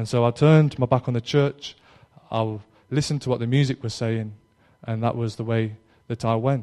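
Man with an East Midlands accent, medium pitch and a dark, mellow tone, fairly quick pace broken by long, frequent pauses, and fairly even intonation. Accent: East Midlands English, noticeable. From Derby, East Midlands England. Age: 20s. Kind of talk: testimony. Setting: live talk to young audience. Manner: informal, slightly hesitant.

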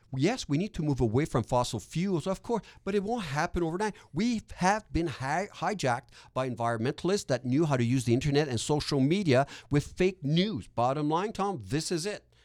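A man with a Quebec accent speaks in an animated tone with very wide pitch swings. The recording is very clean with a silent background. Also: fairly high pitch for a man, fairly quick pace. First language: French. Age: 50s. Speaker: real estate investor and educator. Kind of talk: podcast interview. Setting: studio.

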